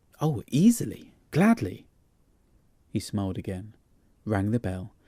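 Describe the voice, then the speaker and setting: The speaker is somewhat breathy, talking at a fairly slow pace with ordinary pitch variation. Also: man, fairly low pitch for a man. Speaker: audiobook narrator. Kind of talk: audiobook ghost story reading.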